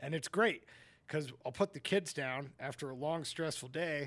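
At a moderate pace, a man with an unremarkable speaking voice talks with fairly high pitch and ordinary pitch variation. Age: 40s. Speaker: business owner. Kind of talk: casual chat.

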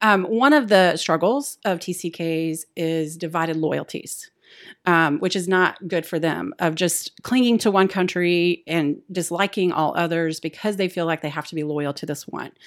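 A woman's fairly low voice, an unremarkable speaking voice with ordinary pitch variation, at a moderate pace in a very clean recording with a silent background. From US South, Texas and Appalachia. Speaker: missionary. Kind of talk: casual chat.

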